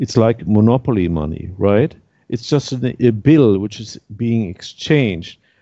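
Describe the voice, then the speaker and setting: Fairly slow and fairly low-pitched, a man speaks with ordinary pitch variation. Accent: German. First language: German. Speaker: activist panelist. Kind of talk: roundtable discussion. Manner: halting.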